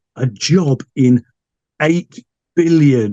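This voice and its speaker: Speaking with an English accent, a man has a dark, mellow, somewhat breathy tone. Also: dry, close sound with no echo. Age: 60s. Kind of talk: interview. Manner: halting.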